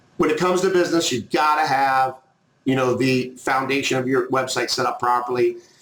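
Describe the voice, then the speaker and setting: A man speaks at a moderate pace with fairly even intonation, and audible room echo surrounds his voice. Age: 50s. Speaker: online marketing trainer. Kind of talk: tutorial. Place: home room. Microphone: webcam.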